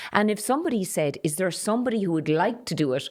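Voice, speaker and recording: A woman's voice with lively intonation on a very clean recording with a silent background. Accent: Irish. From Ireland, Carlow. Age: 60s. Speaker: politician. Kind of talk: interview. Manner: direct.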